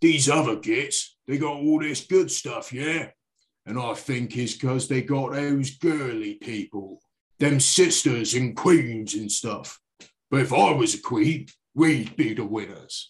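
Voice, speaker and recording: Using a put-on character voice, a man speaks at medium pitch. The pace is fairly slow. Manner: gruff, brutish.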